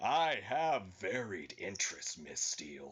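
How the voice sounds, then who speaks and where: Using a put-on character voice, a man projects a raised, raspy sound at a fairly slow pace. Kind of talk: comic dramatic reading. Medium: read story. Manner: smug, self-satisfied.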